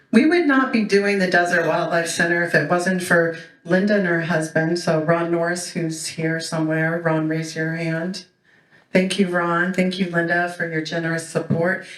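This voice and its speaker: Speech at a moderate pace, with audible room echo. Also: woman, fairly low pitch for a woman. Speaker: board member and event emcee. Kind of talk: event welcome speech. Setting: stage with audience. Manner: loud; animated.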